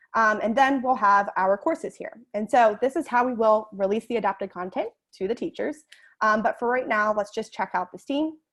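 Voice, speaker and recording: A woman speaks at a fairly quick pace with a fairly high pitch and ordinary pitch variation against a quiet background. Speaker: edtech presenter. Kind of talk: webinar presentation. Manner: fast.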